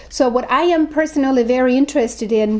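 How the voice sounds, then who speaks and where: A woman with a German accent and ordinary pitch variation. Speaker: professor. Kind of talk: interview talk about research. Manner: halting, many fillers.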